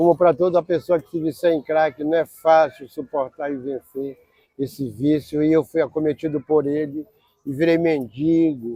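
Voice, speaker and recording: A fairly slow, fairly evenly intoned delivery in an unremarkable speaking voice. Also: man. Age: 60s. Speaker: former homeless person, mental health service user. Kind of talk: documentary interview testimony.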